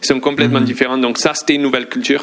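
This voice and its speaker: The man's voice is fairly high in pitch. Noticeable background noise sits behind him. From England. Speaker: sports journalist. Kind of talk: casual chat.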